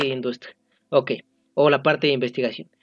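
Music can be heard behind the speaker. He, a man, talks very fast. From Mexico, Estado de México. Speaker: podcast co-host, engineering student. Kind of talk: casual chat.

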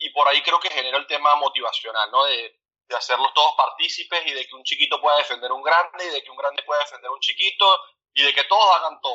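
Here is a man speaking. His pace is very fast. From Venezuela. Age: 30s. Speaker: basketball coach. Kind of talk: interview. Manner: halting, repeats words.

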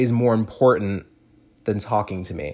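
Moderate-paced speech from a man, captured on a very clean recording with a silent background. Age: 20s. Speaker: solo podcaster. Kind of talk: personal monologue. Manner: casual, filler-heavy.

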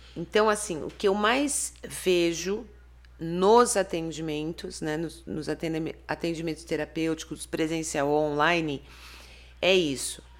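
A woman with a plain, everyday voice speaks at a fairly slow pace with a fairly low pitch and ordinary pitch variation, on a very clean recording with a silent background. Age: 50s. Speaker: therapist and author. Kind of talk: interview.

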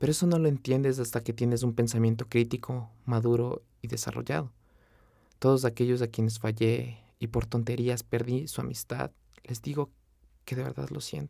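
With a dark, mellow tone, a man speaks at a medium pitch and moderate pace with ordinary pitch variation, on a very clean recording with a silent background. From Ecuador, Quito. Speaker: veterinarian podcaster. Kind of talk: motivational personal narration.

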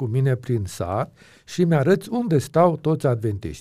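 A man with a medium pitch and a dark, mellow, somewhat breathy tone speaks at a fairly slow pace. His pitch swings very widely, and the recording is very clean with a silent background. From Romania, Transylvania (Aiud). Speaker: pastor and Bible teacher. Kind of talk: interview.

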